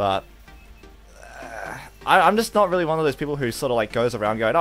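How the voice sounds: Music plays behind a man talking at a fairly quick pace. His fairly high voice swings very widely in pitch.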